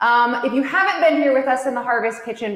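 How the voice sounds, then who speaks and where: There is noticeable background noise as a woman speaks with a high pitch, an energetic tone and ordinary pitch variation. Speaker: cooking class host. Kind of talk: livestream hosting. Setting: online livestream from a kitchen.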